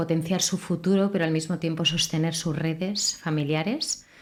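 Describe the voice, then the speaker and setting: At a fairly slow pace, a woman talks in a fairly low, monotone, flat voice. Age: 40s. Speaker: radio host. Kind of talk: interview.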